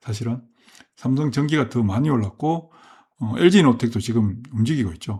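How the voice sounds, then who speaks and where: Moderately paced and somewhat breathy, the speech has ordinary pitch variation. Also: man, medium pitch for a man. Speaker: stock market commentator. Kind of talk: market commentary monologue. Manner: hesitant, many fillers and self-corrections.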